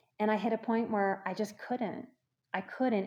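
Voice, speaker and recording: A woman with an American accent talks in a fairly high pitch. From US South, New Orleans. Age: 40s. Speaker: psychotherapist. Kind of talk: testimony. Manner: halting.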